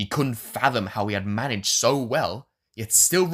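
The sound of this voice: With lively intonation, an unforced reading voice carries over a quiet background.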